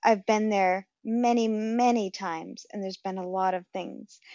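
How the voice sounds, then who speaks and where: A woman with an American accent and a normal speaking voice, at medium pitch and a fairly slow pace, with fairly even intonation. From Rhode Island, US. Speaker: caller. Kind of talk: casual call-in chat. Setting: phone call.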